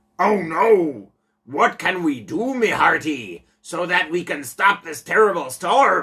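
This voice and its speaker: A put-on character voice at middle pitch moves along at a fairly slow pace. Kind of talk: comic pirate talk. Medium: read story.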